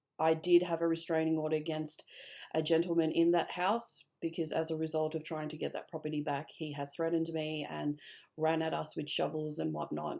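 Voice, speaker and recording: In a very clean recording with a silent background, a woman with an Australian accent speaks fairly quickly in a very deep, low pitch with a dark, mellow tone and monotone, flat intonation. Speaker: vlogger telling personal story. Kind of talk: personal testimony. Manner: halting, many fillers.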